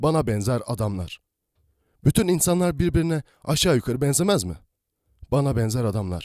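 Recorded very cleanly against a silent background, with a dry, close sound and no echo, a man with a dark, mellow tone speaks at a moderate pace with very wide pitch swings. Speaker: voice actor, audiobook narrator. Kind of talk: audiobook story reading. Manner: soft-spoken, calm.

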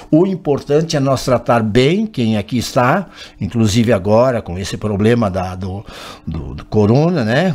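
A man's voice with big swings in loudness and very wide pitch swings. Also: medium pitch for a man, fairly slow pace. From Lagoa Vermelha, Rio Grande do Sul, southern Brazil; Rio Grande do Sul, Brazil. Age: 70s. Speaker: former mayor; former mayor, talk show guest. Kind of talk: broadcast interview. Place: studio. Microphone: podium.

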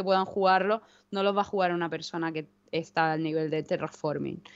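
A woman with an Andalusian accent speaks with fairly even intonation. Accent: Almería Spanish. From Almería, Spain; Spain. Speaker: board game shop owner; board game streamer. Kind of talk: casual chat. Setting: video call. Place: home room. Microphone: headset.

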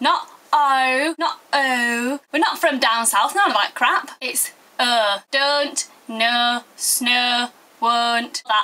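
With a Yorkshire accent, a woman speaks at a very slow pace in a high pitch. Her tone is bright and sharp, with ordinary pitch variation. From Yorkshire, northern England. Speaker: video blogger. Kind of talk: comic tutorial. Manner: animated. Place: home room. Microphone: webcam.

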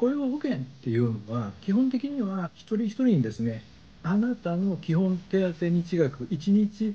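Using a dark, mellow tone, a man speaks at a moderate pace with very wide pitch swings. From Japan. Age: 50s. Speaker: YouTube channel host, career consultant. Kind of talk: tutorial. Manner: casual, explanatory. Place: home room.

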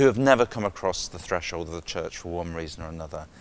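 A man speaks in a very deep, low-pitched voice. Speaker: cathedral dean, clergyman. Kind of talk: interview answer. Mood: enthusiastic, warm. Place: church.

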